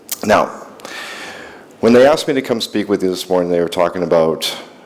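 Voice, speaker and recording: With an American accent, a man speaks at a very deep, low pitch with ordinary pitch variation against noticeable background noise. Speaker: industry analyst and company CEO. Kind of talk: conference keynote talk. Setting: stage with audience.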